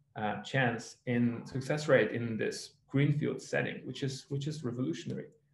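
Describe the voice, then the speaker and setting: Audible room echo surrounds a man whose medium-pitched voice carries vocal fry. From Ukraine. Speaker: tech startup founder and geologist. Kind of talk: webinar presentation.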